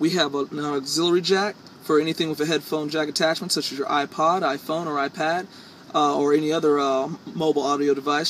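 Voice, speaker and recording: A man talks at a very fast pace and a fairly high pitch amid noticeable background noise. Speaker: car dealership salesperson. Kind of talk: dealership sales pitch, video demo. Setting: in car driver's seat, video walkthrough. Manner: upbeat, salesy, clear, brisk; rehearsed, feature-list delivery with occasional uh fillers.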